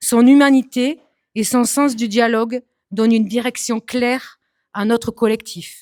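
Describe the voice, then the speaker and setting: The speech comes at a fairly slow pace with fairly even intonation, in a dry, close sound with no echo. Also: woman. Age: 40s. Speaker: municipal election candidate. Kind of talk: prepared self-introduction speech. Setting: public meeting hall with audience.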